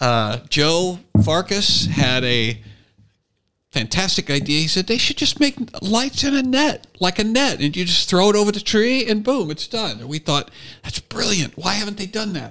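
Raising and projecting his voice, a man speaks at a moderate pace with a high pitch, very wide pitch swings and a bright, sharp tone. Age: 50s. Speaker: comedian and podcast host. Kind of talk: casual chat.

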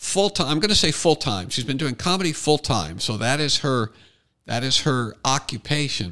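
A man's bright, sharp tone with vocal fry, fairly high in pitch, at a moderate pace with very wide pitch swings, on a very clean recording with a silent background. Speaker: podcast host. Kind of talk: casual chat. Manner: exaggerated, sarcastic delivery.

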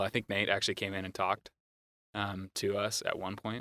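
Fairly quick speech from a man with an American accent, fairly low in pitch and bright, sharp in tone, in a dry, close sound with no echo on a very clean recording with a silent background. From US Pacific Northwest (Moscow, Idaho). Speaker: creative director and graphic designer. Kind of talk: casual interview.

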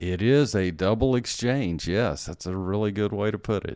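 With an American accent, a man talks at a fairly slow pace in a very deep, low pitch and lively intonation, on a very clean recording with a silent background. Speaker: pastor. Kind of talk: theological interview discussion. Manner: formal, teaching.

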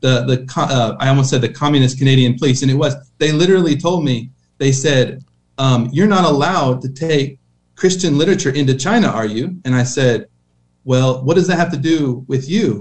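Somewhat breathy tones come from a man. He talks at a fairly quick pace. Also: ordinary pitch variation. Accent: American. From Oklahoma. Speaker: missionary. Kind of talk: interview.

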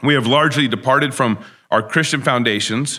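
A man's bright, sharp voice with an American accent, medium pitch and ordinary pitch variation, on a very clean recording with a silent background. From Texas. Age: 40s. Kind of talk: talk. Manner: hesitant fillers.

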